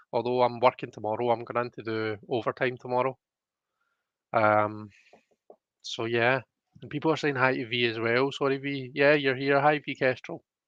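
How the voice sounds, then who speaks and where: A man with a Scottish accent speaks at medium pitch and a moderate pace, with fairly even intonation. His loudness swings widely, and he makes long, frequent pauses. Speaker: tarot card reader streamer. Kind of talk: casual live-stream chat. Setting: live stream. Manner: hesitant, many fillers.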